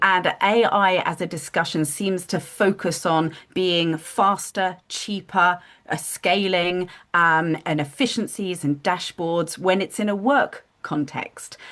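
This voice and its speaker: Against a quiet background, the speaker talks at a very slow pace in a British accent with ordinary pitch variation. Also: woman, fairly low pitch for a woman. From United Kingdom. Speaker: business founder, consultant. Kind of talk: live group video discussion.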